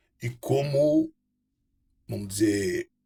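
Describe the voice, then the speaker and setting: The voice belongs to a man and is somewhat breathy. It sits fairly high. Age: 60s. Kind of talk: personal testimony to camera. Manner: halting, with repetitions and fillers.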